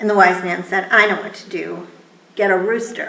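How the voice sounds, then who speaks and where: Using a raspy, put-on character voice, a woman speaks in a medium pitch with monotone, flat intonation at a moderate pace, with an audible echo. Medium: read story. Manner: calm, matter-of-fact.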